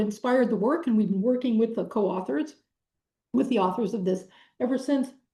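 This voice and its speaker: A woman speaks with lively intonation. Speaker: professor. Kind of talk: lecture. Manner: halting with many fillers.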